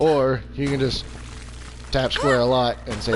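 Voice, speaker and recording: There is noticeable noise in the background. Over it, a man talks. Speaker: gaming streamer. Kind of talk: let's play commentary. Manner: casual, stammering.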